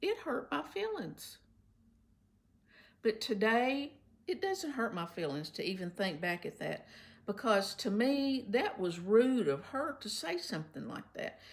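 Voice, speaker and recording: A woman speaks at a fairly slow pace with long, frequent pauses. Her fairly high pitch makes very wide swings. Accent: Kentucky. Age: 70s. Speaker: retired substitute teacher. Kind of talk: casual talk to camera.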